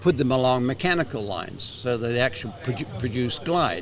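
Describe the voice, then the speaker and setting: The voice has lively intonation, set against noticeable background noise. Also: man. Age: 80s+. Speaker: retired manual therapist and former educator. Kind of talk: interview conversation.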